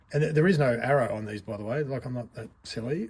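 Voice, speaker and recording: In an Australian accent, a man speaks at a moderate pace with a medium pitch, ordinary pitch variation and a somewhat breathy quality. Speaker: RC hobby reviewer. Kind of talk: product review monologue. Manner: casual, conversational.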